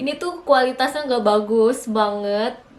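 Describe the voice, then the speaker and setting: Noticeable background noise and audible room echo surround a woman speaking at a moderate pace with ordinary pitch variation. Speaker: vlogger. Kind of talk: casual vlog talk to camera. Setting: alone at home in front of camera. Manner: chatty, with many fillers.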